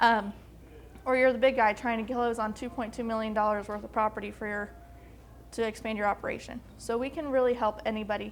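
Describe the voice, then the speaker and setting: Fairly quick and monotone, a woman speaks with fairly high pitch and flat intonation. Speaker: government agency outreach coordinator. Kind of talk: workshop presentation. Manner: fast; casual.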